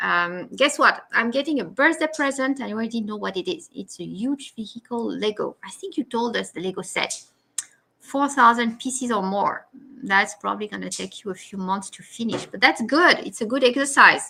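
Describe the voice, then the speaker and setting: This woman speaks with a French accent. Her pitch is fairly high. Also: lively intonation, moderate pace, big swings in loudness. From France. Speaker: live stream host. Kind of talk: casual chat. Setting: live video stream.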